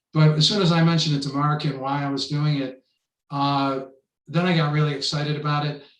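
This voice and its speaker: In a room with audible echo, a man with an American accent talks at a fairly quick pace, his fairly high pitch held in a monotone, flat intonation. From US, Buffalo, New York. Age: 70s. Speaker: poet. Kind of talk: casual interview.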